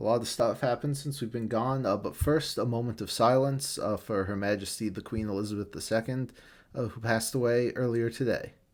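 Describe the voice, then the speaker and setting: An ordinary speaking voice from a man, medium in pitch, at a fairly quick pace with ordinary pitch variation, on a very clean recording with a silent background. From Newfoundland, Canada. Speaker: manga reviewer and podcast host. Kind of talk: casual podcast chat.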